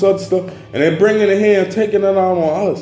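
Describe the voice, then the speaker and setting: Loud and animated, a man with a high voice speaks over background music with audible room echo. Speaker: vlogger. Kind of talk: casual monologue vlog.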